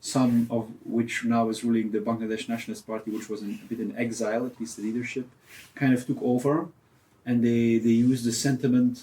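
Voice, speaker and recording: Medium-pitched and dark, mellow in tone, a man speaks with a Flemish accent. His intonation is fairly even and his pace fairly quick. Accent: Flemish Belgian English. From Belgium, Ghent. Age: 30s. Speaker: photojournalist. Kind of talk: interview. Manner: hesitant, many fillers.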